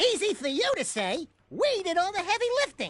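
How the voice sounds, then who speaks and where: In a put-on character voice of extremely high pitch, the speaker moves at a moderate pace with very wide pitch swings. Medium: video game. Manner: fast, sarcastic.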